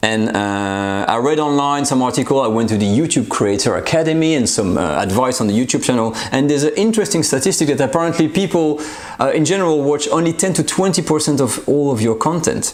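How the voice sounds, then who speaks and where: In a French accent, a man talks at a very fast pace with hardly any pauses, a fairly high pitch, lively intonation and very even loudness, amid noticeable background noise and audible room echo. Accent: French accent, slightly anglicized. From France. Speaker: cooking channel host. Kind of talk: casual vlog channel update. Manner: halting, many fillers.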